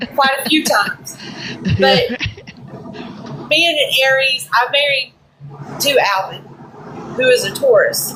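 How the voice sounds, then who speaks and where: Against noticeable background noise, a woman talks fairly slowly, leaving long, frequent pauses. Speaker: guest on podcast. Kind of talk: casual chat. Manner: loud; blunt.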